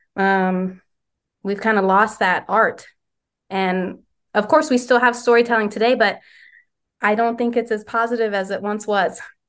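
Long, frequent pauses break up fairly even intonation against a quiet background. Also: woman, fairly high pitch for a woman, moderate pace. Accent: American. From West Virginia. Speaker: doula and childbirth educator. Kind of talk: interview conversation.

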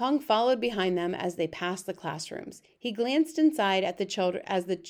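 Lively intonation in a natural reading voice

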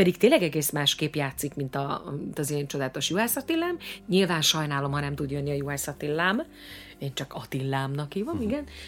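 Speaking at a very fast pace, a woman has a very deep, low pitch and ordinary pitch variation. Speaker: singer and actress, stage host. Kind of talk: casual interview.

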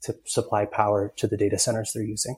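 Somewhat breathy, very fast speech in a dark, mellow tone with an American accent. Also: man. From US Northeast, upstate New York (Ithaca). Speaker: clean tech company founder and CEO. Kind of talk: interview.

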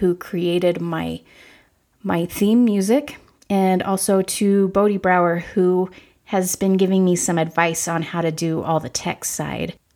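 A woman at a medium pitch and a fairly slow pace, in a very clean recording with a silent background. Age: 40s. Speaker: podcast host. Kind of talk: solo introductory monologue.

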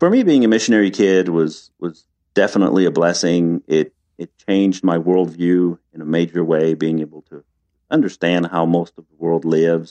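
In a dry, close sound with no echo, a man with a very deep, low pitch and a dark, mellow tone speaks at a moderate pace, his intonation fairly even but his loudness swinging widely. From France, Paris. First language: French. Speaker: retreat center founder. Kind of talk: interview. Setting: video call.

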